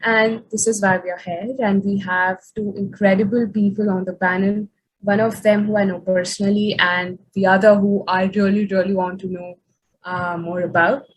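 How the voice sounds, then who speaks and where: Speaking at a moderate pace, a woman with a medium-pitched, somewhat breathy voice keeps her intonation monotone and flat. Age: young. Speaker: youth activist moderating panel. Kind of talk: panel discussion moderation.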